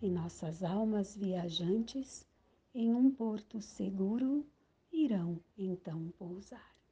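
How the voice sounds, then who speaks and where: Somewhat breathy and very slow, a woman speaks at medium pitch in a dark, mellow tone with lively intonation. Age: 60s. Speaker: poet and columnist. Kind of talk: poetry reading.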